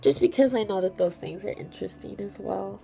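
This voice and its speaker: A woman speaks over noticeable background noise. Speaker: artist streamer. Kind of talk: casual livestream chat while drawing. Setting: livestream. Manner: hesitant, with many fillers.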